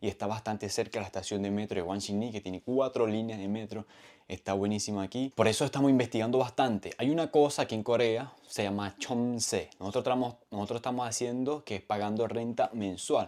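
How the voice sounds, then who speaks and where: Hardly pausing, a man with a normal speaking voice talks at a fairly quick pace in a medium pitch, on a very clean recording with a silent background. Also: fairly even intonation. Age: 30s. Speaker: vlogger. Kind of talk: casual vlog explanation. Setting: at home.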